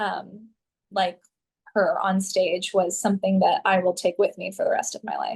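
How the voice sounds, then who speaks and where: This is an American accent on a woman's voice. She sounds somewhat breathy and keeps a moderate pace. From Southern California. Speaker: actress, vocalist, voice actor. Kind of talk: interview answer.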